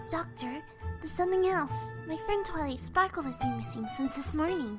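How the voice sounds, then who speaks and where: A female-sounding voice performs a put-on character voice at a fairly quick pace. Clear music plays in the background. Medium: audio drama.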